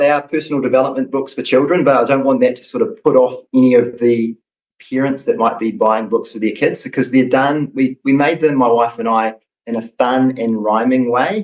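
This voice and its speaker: In a New Zealand accent, a man of medium pitch talks at a moderate pace. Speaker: children's book author. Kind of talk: interview.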